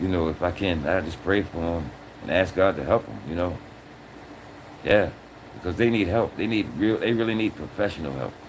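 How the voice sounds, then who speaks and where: An animated man with a very deep, low pitch and vocal fry talks at a fairly quick pace. He leaves long, frequent pauses, and his pitch varies in an ordinary way. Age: 60s. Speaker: livestream host. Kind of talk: casual livestream talk.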